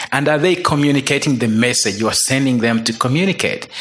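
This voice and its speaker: With noticeable background noise behind it, the voice carries a Ugandan accent and lively intonation. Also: man. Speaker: missionary. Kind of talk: testimony. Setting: stage with audience.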